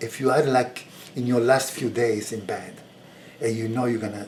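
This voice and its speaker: A man speaks with long, frequent pauses in a room with audible echo. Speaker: video blogger. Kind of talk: personal reflection monologue. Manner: slow; halting.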